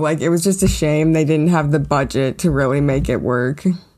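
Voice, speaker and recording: With an unremarkable speaking voice, a woman moves at a moderate speed, her pitch varying in the usual way. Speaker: guest co-host. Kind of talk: casual chat.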